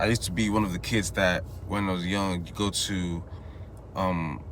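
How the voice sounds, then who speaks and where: The speaker keeps a fairly even intonation at a moderate pace, with audible room echo around the voice. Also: man. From Nigeria, Igbo, Enugu State. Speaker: vlogger. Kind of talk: casual monologue. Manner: casual, rambling with false starts.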